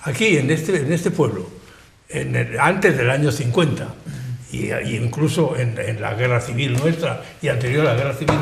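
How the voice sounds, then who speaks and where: A man speaks at a moderate pace with ordinary pitch variation. Audible room echo and noticeable background noise fill the recording. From Spain, Benidorm (Valencian region). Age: 80s+. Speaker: local elder and historian. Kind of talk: panel discussion on TV. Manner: halting, repetitive.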